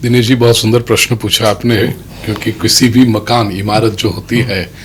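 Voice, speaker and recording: Against noticeable background noise, a man with a Gujarati accent speaks at medium pitch in a monotone, flat intonation. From Mumbai, India (Gujarati family). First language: Gujarati (speaking Hindi). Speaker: religious storyteller and preacher. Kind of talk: interview. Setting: studio.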